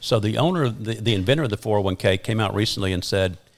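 A man with a normal speaking voice talks at a fairly quick pace and a fairly low pitch, ordinary pitch variation, on a very clean recording with a silent background. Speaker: podcast guest, retirement and tax planning advisor.

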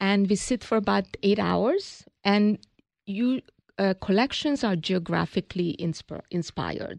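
Fairly slow, medium-pitched female speech in a Hungarian accent, with ordinary pitch variation, a dry, close sound with no echo and a quiet background. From Hungary. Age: 60s. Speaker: business founder. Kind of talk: interview.

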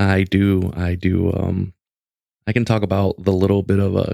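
A man speaks at a fairly slow pace in a fairly low pitch, his tone dark and mellow and his intonation monotone and flat. The recording is very clean, dry and close, with a silent background and no echo. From Mexican-American family, US. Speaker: podcast host on gaming. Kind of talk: casual chat, storytelling.

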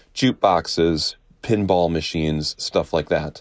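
On a very clean recording with a silent background, a man with an American accent speaks at a moderate pace. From Wisconsin. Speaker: journalist. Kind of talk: casual interview.

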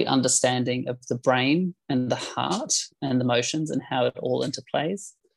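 With a New Zealand accent, a man talks at a fairly slow pace, the sound dry and close with no echo. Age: 40s. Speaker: life coach. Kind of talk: interview.

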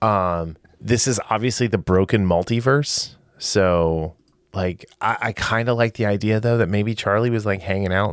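In a very clean recording with a silent background, a man with an ordinary speaking voice talks at a fairly slow pace, fairly low in pitch, with fairly even intonation. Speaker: podcast host. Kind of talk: casual chat.

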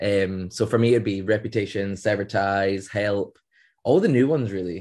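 With a Scottish accent, a man talks at a moderate pace in a fairly low pitch and fairly even intonation. The background is quiet. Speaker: band member, songwriter. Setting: podcast interview.

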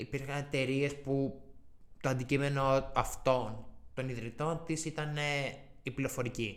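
Very slow, monotone, flat delivery from a man at a medium pitch. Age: 20s. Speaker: university student. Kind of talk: interview.

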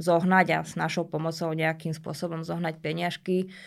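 The woman's voice sits fairly low. Her intonation stays flat and monotone. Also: very clean recording, silent background. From Slovakia, Bratislava. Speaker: dog trainer. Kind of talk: interview. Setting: studio.

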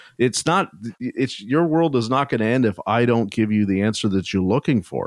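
A man talks with a Canadian accent. He has an ordinary speaking voice. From Canada. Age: 40s. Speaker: podcast host and automotive technician. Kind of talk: casual interview chat.

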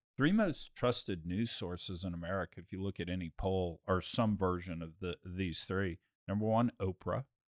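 At a moderate pace and with hardly any pauses, a man speaks in a very deep, low pitch on a very clean recording with a silent background. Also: fairly even intonation, dry, close sound with no echo. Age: 50s. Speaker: podcast host. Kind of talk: casual chat. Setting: studio. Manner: laughs often.

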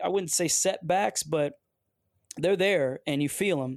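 Lively in intonation, a man with a high pitch talks at a moderate pace. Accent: American. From Detroit area, US. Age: 40s. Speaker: football coach and former pro athlete. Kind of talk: interview conversation. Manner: hesitant, with fillers.

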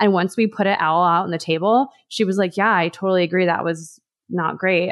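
Using a plain, everyday voice, a woman speaks at a fairly quick pace with a fairly low pitch and ordinary pitch variation. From Los Angeles, US West Coast. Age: 30s. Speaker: food writer and recipe developer. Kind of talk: casual chat. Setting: video call.

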